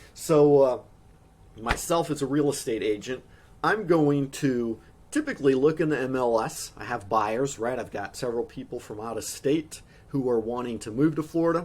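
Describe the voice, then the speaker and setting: A man with a plain, everyday voice speaks at a medium pitch and a moderate pace, using ordinary pitch variation. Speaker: real estate agent. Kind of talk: workshop presentation. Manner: casual, conversational.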